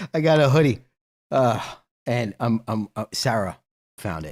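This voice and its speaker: A man with a medium pitch and vocal fry talks at a moderate pace. The recording is very clean and dry, close with no echo, and the background is silent. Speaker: live stream host. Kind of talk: casual live stream chat. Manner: loud.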